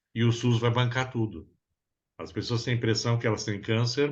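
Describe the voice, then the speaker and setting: A man with a plain, everyday voice talks at a fairly quick pace at medium pitch. The background is quiet. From Brazil. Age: 60s. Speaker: psychoanalyst therapist. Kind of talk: interview conversation.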